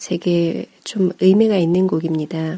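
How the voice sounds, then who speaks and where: A woman is speaking. Her pace is very slow. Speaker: music radio host. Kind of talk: radio-style music program intro and commentary.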